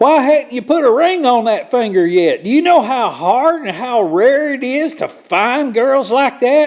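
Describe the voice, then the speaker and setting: Talking at a fairly slow pace in a rural Southern US accent, a man with an extremely high pitch has an animated tone. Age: 60s. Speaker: hunting video maker. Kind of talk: casual monologue to camera. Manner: folksy, animated.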